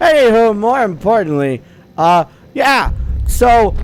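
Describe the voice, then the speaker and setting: A man speaks with music in the background. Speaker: gaming video creator. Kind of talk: let's play commentary. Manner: casual, hesitant with many fillers. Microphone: microphone had setup problems.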